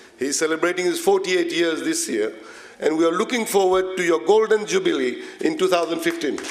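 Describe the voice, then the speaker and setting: Noticeable noise runs underneath. A man speaks fairly quickly. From Mauritius. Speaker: politician. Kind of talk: formal speech.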